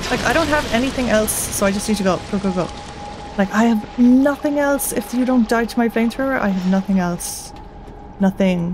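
Over noticeable background noise, a woman talks at a fairly quick pace with a fairly high pitch, the sound dry with no echo. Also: ordinary pitch variation. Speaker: gaming channel host; gaming streamer. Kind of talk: let's play commentary. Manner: casual, chill. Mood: stressed, pleading, tense. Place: home room.

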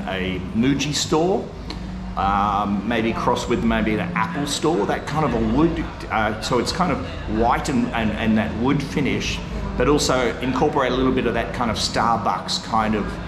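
Over noticeable background noise, the man keeps a moderate pace and shows ordinary pitch variation. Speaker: homeowner vlogger. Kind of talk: casual vlog chat. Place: empty room. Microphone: phone near.

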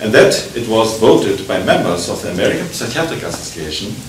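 A man is speaking with audible room echo. Light background noise can be heard. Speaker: conference lecturer. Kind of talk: lecture. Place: hall. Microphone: podium.

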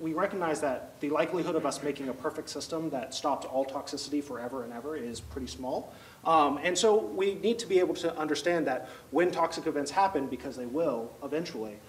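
A man talks at a very fast pace with hardly any pauses and ordinary pitch variation. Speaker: presenter. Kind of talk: lecture. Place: classroom. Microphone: handheld.

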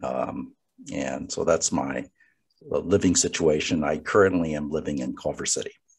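A man speaks at a moderate pace with an American accent. The background is quiet. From Los Angeles area, California (Gardena). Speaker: lawyer and law professor, redistricting commissioner. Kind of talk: guest talk and Q&A on a webinar. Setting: online video call. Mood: calm, conversational. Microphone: video call.

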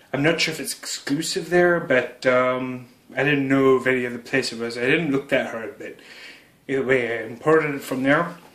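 Audible room echo surrounds a man talking at a moderate pace with a Canadian accent. His pitch varies in an ordinary way. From Canada. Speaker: YouTuber doing product unboxing. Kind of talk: unboxing video narration. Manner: casual with frequent fillers and hesitations. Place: home room. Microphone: phone near.

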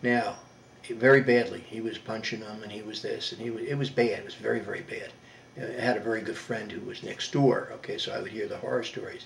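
A man talks at a very fast pace with big swings in loudness over light background noise. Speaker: war veteran. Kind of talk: oral history interview, reminiscing about life story. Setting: home interview. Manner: warm, chatty, reflective. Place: home room. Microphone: webcam.

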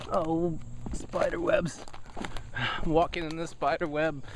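A man speaks with fairly even intonation. The sound is dry with no echo, but there is noticeable background noise. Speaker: comedic vlogger. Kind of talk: casual vlog chat. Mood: mock-dramatic, complaining. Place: forest. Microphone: phone near.

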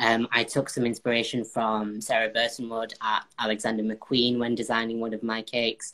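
The speech has a monotone, flat intonation over a quiet background. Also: man, moderate pace, hardly any pauses. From northern England, Bolton; northern England. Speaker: baker and former cooking contestant; guest. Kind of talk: casual interview. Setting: live video call. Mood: relaxed, thoughtful. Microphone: video call.

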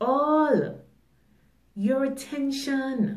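A woman's fairly high voice with audible room echo over a quiet background. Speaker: poet and motivational video creator. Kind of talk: poem performed, spoken-word style with repeated 'I need all' lines. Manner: emphatic, rhythmic, declarative; deliberate, motivational, insistent. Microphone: phone near.

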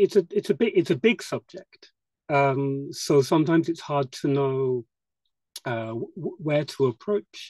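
On a dry recording with no echo and a quiet background, a man with a British accent speaks fairly slowly with lively intonation. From UK. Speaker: attendee asking questions. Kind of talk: Q&A discussion. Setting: video call. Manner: hesitant. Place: home room. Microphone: video call.

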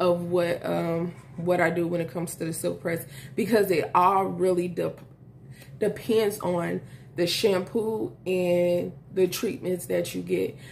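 With light background noise behind her, a woman of fairly low pitch speaks at a fairly slow pace, her voice showing vocal fry and ordinary pitch variation. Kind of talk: tutorial. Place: home room.

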